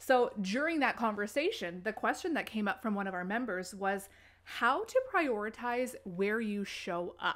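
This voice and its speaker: A woman talks at a moderate pace, animated in tone, with lively intonation. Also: fairly high pitch for a woman. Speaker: marketing podcast host and business coach. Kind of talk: podcast intro then recorded live Q&A talk. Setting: live video call. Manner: animated, lots of filler words.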